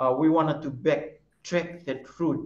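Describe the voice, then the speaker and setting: Audible room echo surrounds speech at a moderate pace with fairly even intonation. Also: man. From Fiji, Lau group. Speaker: traditional canoe sailing captain. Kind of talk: webinar presentation. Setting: video call. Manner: halting. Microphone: video call.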